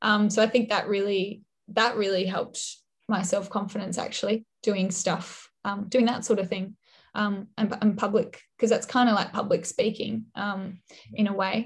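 Medium-pitched, somewhat breathy female voice at a moderate pace, flat and monotone in intonation. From Western Australia (Perth, Dunsborough). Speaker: journalist. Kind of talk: interview.

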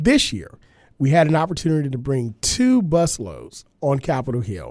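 A very clean recording of a man, dark and mellow in tone, over a silent background. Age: 40s. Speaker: radio host. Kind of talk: radio talk show monologue.

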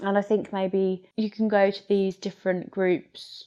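Against a quiet background, a woman speaks in a British accent. Her pitch is medium and her intonation flat and monotone. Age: 30s. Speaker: art and photography teacher. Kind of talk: casual chat.

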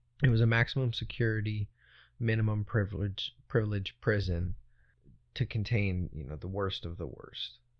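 Over a quiet background, a man with a fairly low pitch speaks in a plain, everyday voice at a moderate pace, using ordinary pitch variation while his loudness swings widely. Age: 20s. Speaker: podcast co-host. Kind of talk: casual chat.

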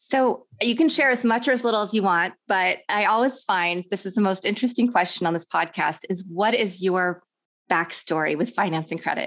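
A woman's ordinary speaking voice at medium pitch, fairly quick, with lively intonation. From Kansas. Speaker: podcast host. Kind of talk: interview.

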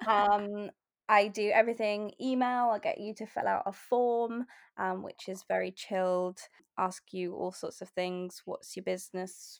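Delivered at a fairly slow pace, the speech carries a southern English accent and fairly even intonation. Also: woman, dry, close sound with no echo. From southwest England. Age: 20s. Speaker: copywriter. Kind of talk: interview.

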